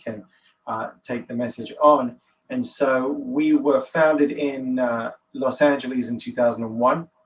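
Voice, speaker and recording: The speaker has a London accent. The intonation is monotone and flat. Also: man. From England, London. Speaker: nonprofit director, author. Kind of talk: podcast interview.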